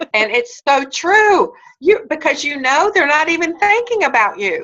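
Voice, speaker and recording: A woman's extremely high, raised, projected voice has a bright, sharp tone and very wide pitch swings at a moderate pace. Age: 50s. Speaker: network marketing leader. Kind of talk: Q&A advice session.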